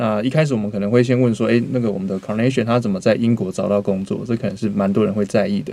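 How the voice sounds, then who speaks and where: A man talks very fast in a dark, mellow tone with fairly low pitch. His intonation stays fairly even. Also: hardly any pauses. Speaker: podcast host. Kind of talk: casual interview.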